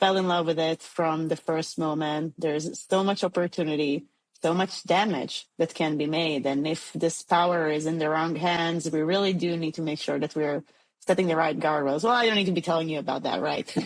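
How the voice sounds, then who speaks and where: A woman with an Israeli accent, fairly low-pitched, at a moderate pace with fairly even intonation against a quiet background. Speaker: tech startup CEO. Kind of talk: podcast interview.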